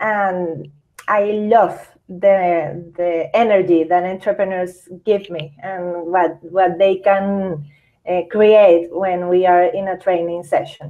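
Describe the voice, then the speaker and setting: In a Venezuelan accent, a woman speaks at a medium pitch. Her pace is very slow. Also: fairly even intonation. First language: Spanish. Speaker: psychologist and entrepreneur. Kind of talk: interview. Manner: halting.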